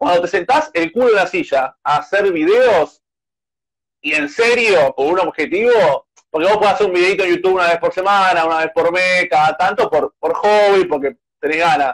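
Speaking at a moderate pace, a man with a high voice is heard in a dry, close recording with no echo. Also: ordinary pitch variation, very even loudness. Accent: Rioplatense. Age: 20s. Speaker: youtuber and journalist. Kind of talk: casual interview.

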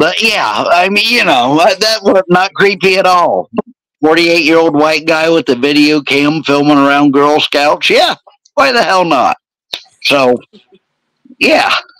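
The man's fairly high voice holds a very even loudness at a fairly slow pace, with a dry, close sound and no echo. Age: 40s. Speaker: podcast host. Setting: live video podcast. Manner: casual, joking, profane.

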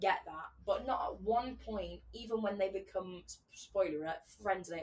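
An unforced voice reads the text. The pitch rises and falls in an ordinary way.

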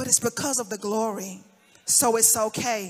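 Projecting a raised voice, a woman talks at a moderate pace in an animated tone. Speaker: preacher. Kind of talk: sermon. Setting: church. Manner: animated, impassioned preaching.

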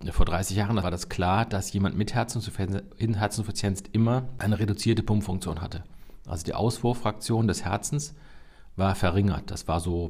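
Somewhat breathy, a man speaks with a fairly low pitch and ordinary pitch variation. His pace is moderate. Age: 50s. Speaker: cardiologist, chief physician. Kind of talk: expert interview.

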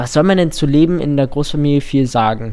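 A man with a fairly high-pitched voice and a dark, mellow tone talks at a fairly quick pace with fairly even intonation. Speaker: podcast co-host. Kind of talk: casual chat.

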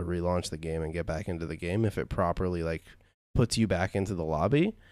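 His voice very deep and low, the man rattles along at a very fast pace. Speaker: podcast host. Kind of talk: casual chat. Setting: online call with guests.

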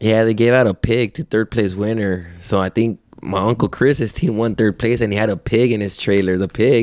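An unremarkable speaking voice from a man with an American accent, fairly low in pitch, at a moderate pace with hardly any pauses, on a very clean, dry, close recording with a silent background and no echo. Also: ordinary pitch variation. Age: 30s. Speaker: rodeo rider. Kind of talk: casual chat. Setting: at his home.

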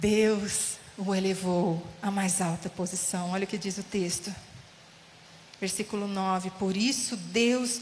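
The speech comes at a very slow pace with audible room echo. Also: woman. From São Paulo state interior. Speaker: guest preacher. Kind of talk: sermon. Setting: church.

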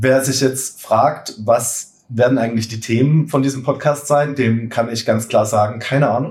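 A man with a somewhat breathy voice keeps his intonation fairly even. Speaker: bread baking content creator and cookbook author. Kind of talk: casual chat. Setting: studio couch, recording together. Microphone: poor sound quality in first episode.

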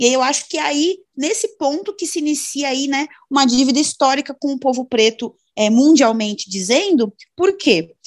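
A woman speaks with a high pitch and lively intonation, recorded with a dry, close sound and no echo. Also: moderate pace. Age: 20s. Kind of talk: podcast interview.

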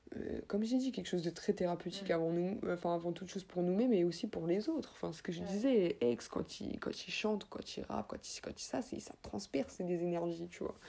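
At a fairly quick pace and with hardly any pauses, a woman with a fairly low pitch and a dark, mellow tone speaks with lively intonation. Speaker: rapper. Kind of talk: casual interview. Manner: casual, with English interjections.

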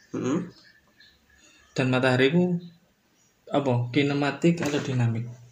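A man with a fairly high voice and a somewhat breathy sound talks at a moderate pace in fairly even intonation, leaving long, frequent pauses. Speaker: podcast host. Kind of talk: casual chat.

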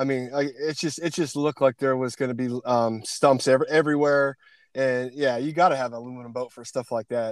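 In a very clean recording with a silent background and a dry, close sound with no echo, a man with an American accent and medium pitch uses an ordinary speaking voice at a fairly quick pace, with fairly even intonation and big swings in loudness. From Pennsylvania. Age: 40s. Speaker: podcast host. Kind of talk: casual interview chat. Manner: casual, chatty.

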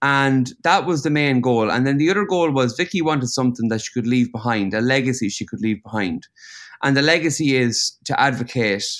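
A man at medium pitch, talking at a fairly quick pace. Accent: Irish. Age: 30s. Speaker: painter. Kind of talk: casual chat.

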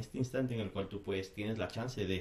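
A man is speaking. His voice is somewhat breathy. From Ecuador. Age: 30s. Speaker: hardcore band vocalist. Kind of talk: casual chat.

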